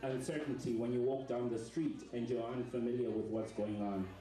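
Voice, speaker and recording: Music plays behind a man of medium pitch who speaks with fairly even intonation in a room with audible echo. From Zimbabwe. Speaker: performance artist. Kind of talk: audience address before show; live spoken word performance. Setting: stage with audience in a restaurant. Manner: loud and clear.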